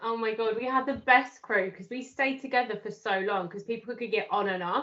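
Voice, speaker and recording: A woman's fairly high voice at a fairly quick pace, with fairly even intonation and big swings in loudness. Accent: British. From UK. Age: 30s. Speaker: life coach. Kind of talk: casual chat.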